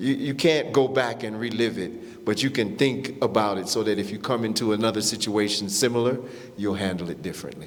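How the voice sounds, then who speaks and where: Amid noticeable background noise and audible room echo, a man talks fairly quickly at medium pitch with ordinary pitch variation. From US Midwest, Warren, Ohio. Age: 60s. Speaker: panelist. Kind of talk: panel discussion. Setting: stage with audience. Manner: halting.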